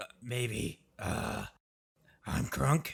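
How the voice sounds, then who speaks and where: Raspy and medium-pitched, a man performs a put-on character voice. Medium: actual play.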